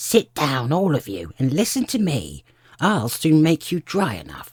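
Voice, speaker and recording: Growling, a man does a put-on character voice at a fairly high pitch. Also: moderate pace. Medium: read story. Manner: pompous, touchy.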